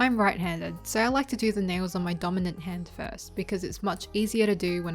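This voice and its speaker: Over music in the background, a woman speaks fairly quickly at a medium pitch with ordinary pitch variation. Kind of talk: beauty tutorial voiceover.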